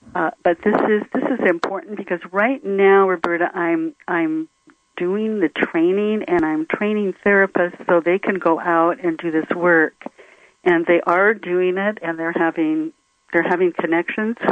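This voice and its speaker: An ordinary speaking voice from a woman, fairly low in pitch, fairly even in intonation, at a fairly slow pace. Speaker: therapist. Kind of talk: radio interview.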